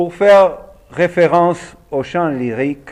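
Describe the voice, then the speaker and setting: A man at a very slow pace with ordinary pitch variation, over noticeable background noise. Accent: Argentine. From Argentina. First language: Spanish (speaking French). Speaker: opera singer and voice teacher. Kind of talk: lecture.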